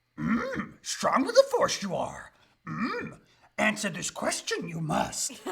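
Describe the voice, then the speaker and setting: Someone does a put-on character voice at a fairly slow pace. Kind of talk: inverted word order.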